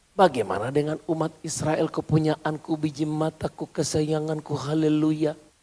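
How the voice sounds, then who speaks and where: A man with a fairly high pitch talks at a moderate pace with hardly any pauses. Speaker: pastor. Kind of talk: sermon. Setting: church. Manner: animated.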